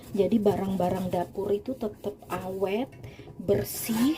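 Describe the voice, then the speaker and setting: A woman at medium pitch, animated in tone with ordinary pitch variation, speaking at a fairly slow pace over noticeable background noise. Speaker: home cooking and cleaning vlogger. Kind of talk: casual tutorial while cleaning. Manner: animated, chatty.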